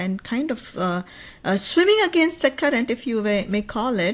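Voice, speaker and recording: Very wide pitch swings run through this voice at a moderate pace. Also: woman. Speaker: wealth strategist and business owner. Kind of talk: podcast interview. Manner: hesitant, many fillers.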